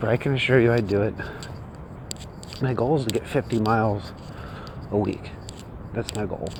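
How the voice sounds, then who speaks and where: Over noticeable background noise, a quiet man speaks at a moderate pace with long, frequent pauses and fairly even intonation. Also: medium pitch for a man. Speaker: copywriting teacher vlogger. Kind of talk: casual walking vlog monologue. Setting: outdoors, walking on street early morning. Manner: keeping voice down, quiet; halting, many fillers.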